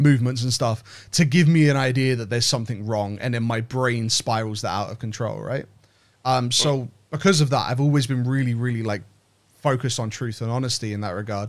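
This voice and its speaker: On a very clean recording with a silent background, a man with a British accent talks fairly quickly at medium pitch with ordinary pitch variation. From Britain. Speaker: game art director. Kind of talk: interview. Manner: halting, many fillers and repeats.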